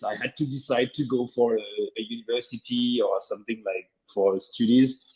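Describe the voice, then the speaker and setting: A man's medium-pitched voice with a French accent. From France. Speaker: open source startup founder. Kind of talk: interview.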